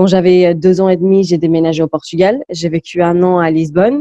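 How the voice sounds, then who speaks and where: The voice moves at a fairly quick pace with a dark, mellow tone and a dry, close sound with no echo. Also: woman. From southern Spain, Malaga. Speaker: rapper. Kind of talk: interview.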